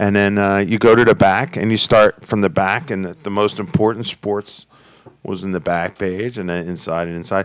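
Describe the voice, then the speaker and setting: A man in a Philadelphia accent, fairly low in pitch, with ordinary pitch variation and a moderate pace. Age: 60s. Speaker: podcast host. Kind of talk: casual chat.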